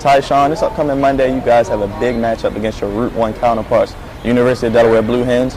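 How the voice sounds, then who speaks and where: Over noticeable background noise, a man speaks very fast at a medium pitch. His intonation stays fairly even. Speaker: sports play-by-play announcer and host. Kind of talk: sports broadcast reporting and interviewing.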